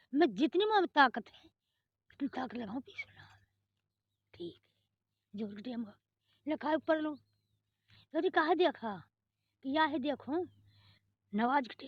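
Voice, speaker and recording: Pausing long and often, a woman speaks at a high pitch with very wide pitch swings and big swings in loudness. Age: 80s+. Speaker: 1947 partition eyewitness. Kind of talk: interview answer.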